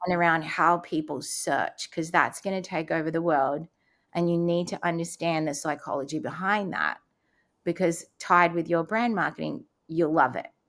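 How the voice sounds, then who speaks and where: A woman speaks with ordinary pitch variation and a slight Australian accent on a very clean recording with a silent background. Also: fairly low pitch for a woman, moderate pace. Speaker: transplant survivor and speaker. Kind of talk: casual interview.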